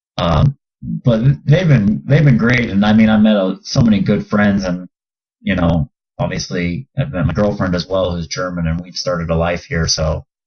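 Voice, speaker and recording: With an American accent, a man talks at a moderate pace in a very deep, low pitch, his intonation lively. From Southern California. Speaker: professional basketball player. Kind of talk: casual chat.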